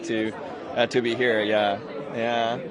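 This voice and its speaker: Over noticeable background noise and audible room echo, a man with a non-native accent talks at a fairly slow pace. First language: Japanese. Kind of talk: red carpet interview. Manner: halting.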